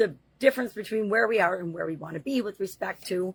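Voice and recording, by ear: Talking at a fast pace, a woman uses a medium pitch with vocal fry, a slightly husky edge and ordinary pitch variation.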